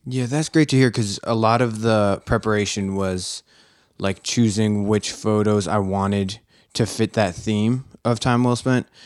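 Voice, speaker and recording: An American accent marks this man's ordinary speaking voice, which is fairly low in pitch and fairly slow in pace. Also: fairly even intonation, very clean recording, silent background. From Philadelphia. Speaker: photographer. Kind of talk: casual chat.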